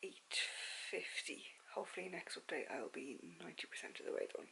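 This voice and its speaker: A woman whispers at a moderate pace. Her speech has long, frequent pauses. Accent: Dublin. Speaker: book vlogger and secondary school teacher. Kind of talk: casual vlog chat. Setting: at home, bedroom at night. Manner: filler-heavy casual; soft-spoken, lowered voice. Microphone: camera's built-in audio, no external mic.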